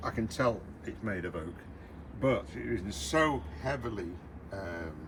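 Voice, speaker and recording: Vocal fry runs through this man's voice. His pitch swings very widely. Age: 80s+. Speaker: retired hobby restorer. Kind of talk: casual chat. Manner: halting.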